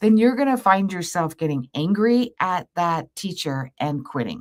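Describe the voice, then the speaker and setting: An animated woman's voice in an American accent, with very wide pitch swings, on a very clean recording with a silent background. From Canada, Windsor Ontario. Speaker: astrologer. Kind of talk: live stream talk. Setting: YouTube live stream.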